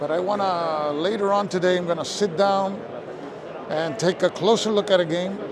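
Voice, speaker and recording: A man talks with a high pitch and fairly even intonation. Noticeable background noise runs behind him. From Puerto Rico. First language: Spanish. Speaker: board game video host. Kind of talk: casual walk-and-talk vlog. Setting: walking around a game convention with a gimbal.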